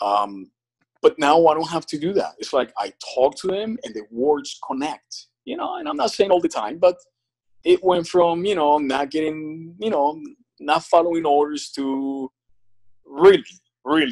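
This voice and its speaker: A moderate pace against a quiet background, with big swings in loudness. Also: man. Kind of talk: interview answer. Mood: calm, positive. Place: home room. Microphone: phone near.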